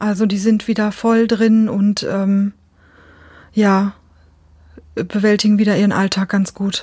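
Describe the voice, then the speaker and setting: Somewhat breathy and dark, mellow in tone, a woman talks very slowly at medium pitch in a flat monotone, her loudness very even and her pauses long and frequent. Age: 40s. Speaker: psychiatric patient sharing experience. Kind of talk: interview.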